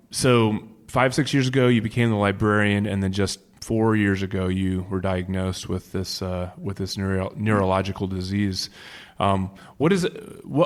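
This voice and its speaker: In a very clean recording with a silent background, a man with an unremarkable speaking voice talks at a moderate pace, his pitch fairly low with ordinary variation. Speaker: podcast host. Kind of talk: interviewer questions.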